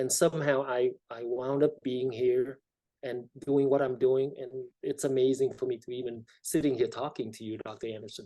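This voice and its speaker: A dark, mellow voice speaks in a flat monotone while its loudness swings widely. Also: man, medium pitch for a man, moderate pace. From South Vietnam, emigrated to California at 13. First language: Vietnamese. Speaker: state legislator. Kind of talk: interview.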